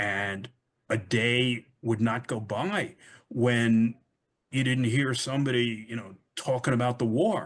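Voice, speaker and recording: Someone speaks very slowly in a New York accent against a quiet background. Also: man, medium pitch for a man, ordinary pitch variation. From US Northeast, Brooklyn (Flatbush). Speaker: author. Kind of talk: interview.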